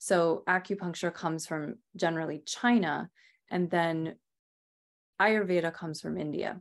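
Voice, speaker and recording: Recorded very cleanly against a silent background, a woman with an American accent has an unremarkable speaking voice, fairly low in pitch, with ordinary pitch variation at a moderate pace. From Rhode Island, US. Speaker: Ayurvedic practitioner and author. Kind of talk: interview.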